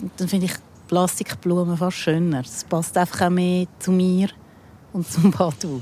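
Fairly even in intonation, the voice has a dark, mellow tone and a Zurich accent. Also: woman. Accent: Zurich Swiss German. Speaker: rock musician. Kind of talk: casual chat. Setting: outdoors.

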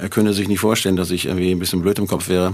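A man speaks at a fairly low pitch in a monotone, flat intonation. Noticeable background noise can be heard. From northern Germany, near Hanover. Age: 60s. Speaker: musician. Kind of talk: casual interview.

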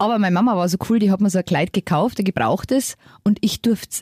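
A woman speaks very fast in a dark, mellow, somewhat breathy voice at a medium pitch, recorded dry and close with no echo, very clean against a silent background. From Lower Bavaria, Germany. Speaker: podcast co-host, mother. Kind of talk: casual chat. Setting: studio.

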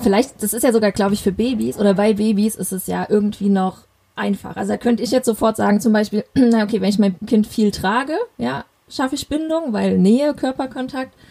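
Somewhat breathy, with a dark, mellow tone, a woman speaks at a fairly quick pace with a fairly high pitch and ordinary pitch variation. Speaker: parenting podcast host. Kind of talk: interview.

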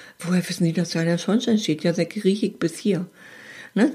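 A woman with a dark, mellow tone and medium pitch talks at a fairly quick pace, somewhat breathy, with ordinary pitch variation. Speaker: advice podcast host. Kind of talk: casual chat.

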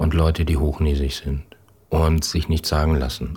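A man with a very deep, low pitch speaks at a moderate pace in fairly even intonation over noticeable background noise. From northern Germany, Schleswig-Holstein. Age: 60s. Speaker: corporate communications head. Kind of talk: interview.

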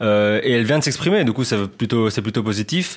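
He has a plain, everyday voice with a medium pitch and ordinary pitch variation. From Belgium. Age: 20s. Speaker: journalist. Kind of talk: casual chat.

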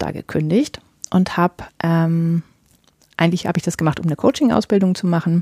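A woman talks at a fairly quick pace in a fairly low, dark and mellow voice that is somewhat breathy. The sound is dry and close, with no echo. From northern Germany. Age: 40s. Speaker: podcast host and romance novelist. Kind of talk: solo podcast monologue. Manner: many filler sounds.

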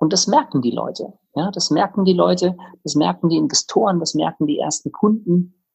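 This man talks at a moderate pace in a high voice. His intonation is lively. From Bavaria, Tegernsee near Munich. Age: 30s. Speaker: startup co-founder. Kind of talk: interview.

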